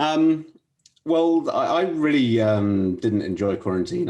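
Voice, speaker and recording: A man with a London accent and a dark, mellow tone, at a moderate pace with very wide pitch swings. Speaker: management consultant. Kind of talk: interview.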